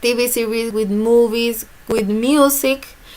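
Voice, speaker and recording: A woman in a Spanish accent talks at a very slow pace with a fairly high pitch. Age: 20s. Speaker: student teacher. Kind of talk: class presentation. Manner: halting.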